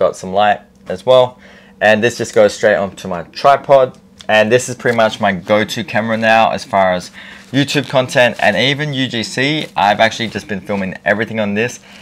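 Pitch varies in an ordinary way as a man talks at a moderate speed. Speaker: content creator. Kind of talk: casual gear review vlog. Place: home room. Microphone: lapel.

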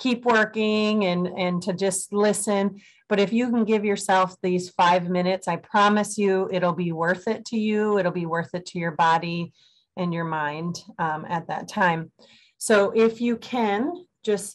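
A woman talks fairly slowly in fairly even intonation, with only quiet around her. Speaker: presenter. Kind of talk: webinar presentation. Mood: calm, friendly. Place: home room. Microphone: webcam.

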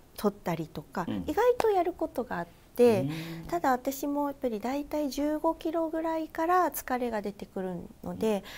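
Her high voice swinging very widely in pitch and greatly in loudness, a woman speaks at a moderate pace. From Fukuoka, Japan; Japan. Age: 30s. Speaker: fitness instructor and marathon runner; fitness instructor. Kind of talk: casual interview. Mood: friendly, upbeat. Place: studio. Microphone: lapel.

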